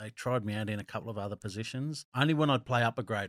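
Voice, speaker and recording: The recording is very clean, with a silent background and a dry, close sound with no echo. The speech comes at a very fast pace with ordinary pitch variation. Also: man. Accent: Australian. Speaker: former rugby league player. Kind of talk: casual chat. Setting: studio.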